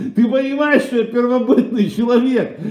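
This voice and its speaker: Speaking in an animated tone, a man uses an extremely high pitch. The background is quiet, though room echo is audible. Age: 50s. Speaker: streamer. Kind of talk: casual livestream monologue. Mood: irritated, crude. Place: kitchen. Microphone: webcam.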